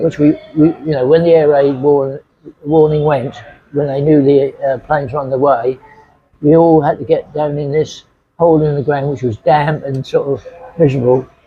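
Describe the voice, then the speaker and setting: At a moderate pace, the speaker uses monotone, flat intonation in an East Anglian accent. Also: man, fairly high pitch for a man. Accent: English (Suffolk). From England. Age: 80s+. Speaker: retiree. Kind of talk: interview answer.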